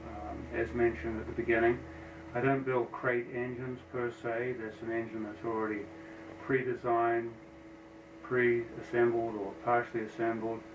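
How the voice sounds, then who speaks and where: With an American accent, a man speaks at a medium pitch and a moderate pace. His intonation is fairly even over noticeable background noise. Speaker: engine builder. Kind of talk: casual shop tour narration. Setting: office. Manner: hesitant with fillers.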